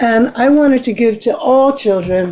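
The woman's voice has a dark, mellow tone and moves at a fairly slow pace. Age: 70s. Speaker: expressive arts therapist and nonprofit founder. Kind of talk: interview. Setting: radio studio, live-streamed on Facebook.

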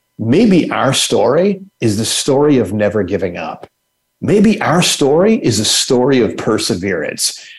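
A man at a medium pitch with very wide pitch swings and vocal fry, at a fairly slow pace. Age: 60s. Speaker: human rights nonprofit leader. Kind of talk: interview. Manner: halting, many fillers.

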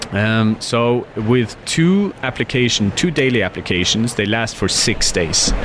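A man with a Norwegian accent at a medium pitch, fairly slow yet with hardly any pauses, ordinary pitch variation, and noticeable background noise. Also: very even loudness. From northern Norway. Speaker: skincare entrepreneur. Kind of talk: interview.

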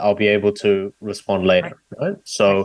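With an Australian accent, a man talks at a fairly quick pace in a fairly low pitch. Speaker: debate coach and author. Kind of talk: interview. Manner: hesitant with frequent fillers.

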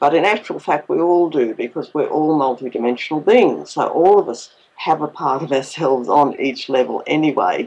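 A woman speaks at a moderate pace with an Australian accent. Her pitch is very deep and low, and her intonation is lively. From Queensland, Australia. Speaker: author and ET contact experiencer. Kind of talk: interview.

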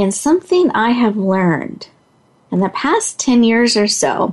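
Speaking at a slow pace, a woman uses a fairly high pitch with big pitch swings.

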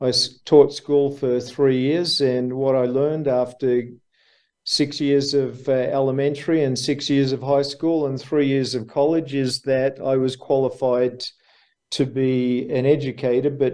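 A man with an Australian accent speaks at a fairly slow pace. His intonation is monotone and flat. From Australia, Melbourne. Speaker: businessman, former school teacher. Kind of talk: interview.

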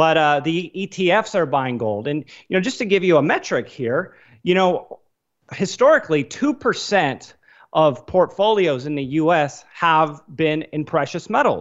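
This is a normal speaking voice with lively intonation. It moves at a fairly slow pace. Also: man, fairly high pitch for a man. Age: 30s. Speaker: investor and financial analyst. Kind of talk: interview.

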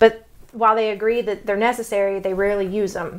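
A woman speaks with a Texas accent at a fairly high pitch. The recording is very clean, with a silent background. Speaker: podcast host discussing relationships. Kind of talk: casual explanatory chat. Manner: halting, with fillers and self-corrections.

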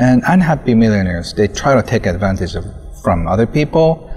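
In a Japanese accent, the speaker moves at a moderate pace with very wide pitch swings over noticeable background noise. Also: man. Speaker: author. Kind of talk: interview. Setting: outdoors.

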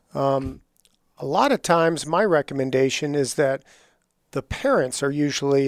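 A man speaks at a fairly high pitch in a plain, everyday voice with fairly even intonation. The recording is very clean with a silent background, dry and close with no echo. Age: 60s. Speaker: estate attorney. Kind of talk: interview.

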